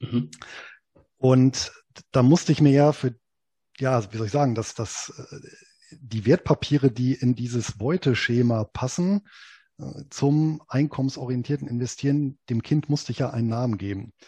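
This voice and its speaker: In a dry, close sound with no echo and a quiet background, a man with a medium pitch and a dark, mellow, somewhat breathy tone speaks at a moderate pace with long, frequent pauses. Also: ordinary pitch variation. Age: 40s. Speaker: investment blogger and author. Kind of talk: interview.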